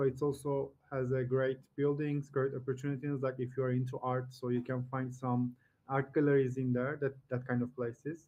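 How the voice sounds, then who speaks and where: Speaking in a Turkish accent, a man uses a medium pitch at a moderate pace. His intonation is monotone and flat. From Turkey. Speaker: online video chat streamer. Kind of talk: casual chat. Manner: halting.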